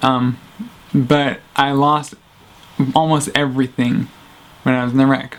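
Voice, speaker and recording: A soft-spoken man talks at medium pitch with monotone, flat intonation. He moves at a fairly slow pace with long, frequent pauses. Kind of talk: casual talk to camera. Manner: quiet, soft-spoken.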